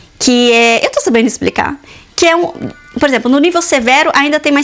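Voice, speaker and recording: Over background music, a woman with a high pitch talks at a fairly quick pace, with ordinary pitch variation and very even loudness. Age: 30s. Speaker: mother and lifestyle vlogger. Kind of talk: casual talk to camera.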